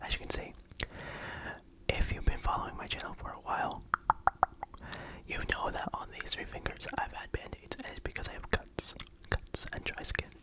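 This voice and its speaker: Whispering at a moderate pace, the speaker leaves long, frequent pauses over noticeable background noise. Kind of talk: ASMR whispering and rambling. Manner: whispered.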